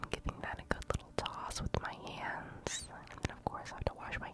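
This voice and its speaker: A woman whispers over noticeable background noise. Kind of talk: ASMR cooking video, casual talk to camera. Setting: binaural microphone, close ear-to-ear recording. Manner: whispered, soft-spoken.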